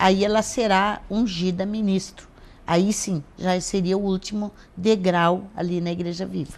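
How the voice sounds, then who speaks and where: This woman's voice sits at a medium pitch and moves at a very slow pace with fairly even intonation. The background is quiet. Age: 60s. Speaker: pastor. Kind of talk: interview.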